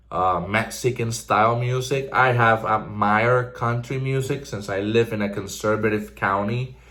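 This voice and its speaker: This man's medium-pitched voice has a bright, sharp tone and moves at a moderate pace with hardly any pauses. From Puerto Rico (Ponce). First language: Spanish. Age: 20s. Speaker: vlogger. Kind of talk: casual personal vlog monologue. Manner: energetic.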